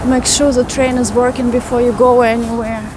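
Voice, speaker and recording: Speaking with a Russian accent at a high pitch, a woman is heard with audible room echo and noticeable background noise. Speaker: walking tour vlogger. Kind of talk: live stream walking tour chat. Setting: outdoors, walking city streets.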